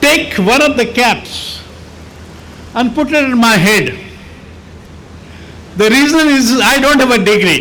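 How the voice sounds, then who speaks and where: Over noticeable background noise and audible room echo, a man with an extremely high pitch speaks in a raised, projected voice at a fairly slow pace, with ordinary pitch variation, very even loudness and long, frequent pauses. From India. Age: 80s+. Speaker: architect. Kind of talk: speech.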